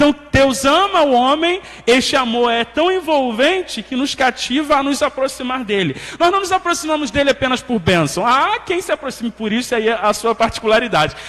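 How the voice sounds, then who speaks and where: Lively intonation marks this man's extremely high voice. He speaks at a moderate pace amid noticeable background noise. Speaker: Bible study teacher. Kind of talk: Sunday school lesson.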